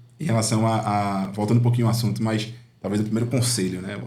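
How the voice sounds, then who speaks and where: A man speaks at a medium pitch in a monotone, flat intonation. Audible room echo is heard around his voice. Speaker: uncle and father figure to a nephew. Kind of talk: podcast conversation. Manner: halting, many fillers.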